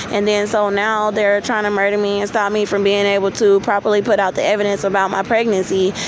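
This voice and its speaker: Amid noticeable background noise, a woman at a medium pitch speaks at a very fast pace. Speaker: vlogger. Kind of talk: personal testimony. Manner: halting.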